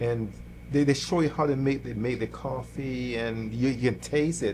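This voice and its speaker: A man speaks with a Jamaican accent. He keeps a moderate pace. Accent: Jamaican accent, noticeable. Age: 60s. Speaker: church musician, guitarist. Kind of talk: interview conversation. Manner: halting, many repetitions.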